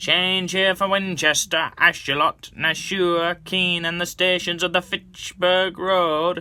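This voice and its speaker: A man's put-on character voice, high in pitch, monotone and flat, at a fairly slow pace with hardly any pauses. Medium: read story.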